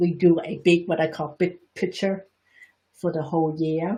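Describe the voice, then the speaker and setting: With an American accent, the voice is somewhat breathy, moving at a fairly slow pace with fairly even intonation. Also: woman. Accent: Chinese Bostonian. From Boston, US. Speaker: energy healing teacher and reflexologist. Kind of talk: live-streamed Q&A talk. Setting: live broadcast.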